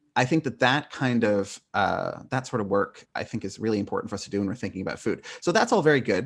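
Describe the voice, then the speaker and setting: Speaking very fast and hardly pausing, a man talks in an American accent. His pitch is medium, with ordinary variation. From northern California. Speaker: philosophy professor. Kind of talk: podcast interview. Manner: many fillers, um and uh.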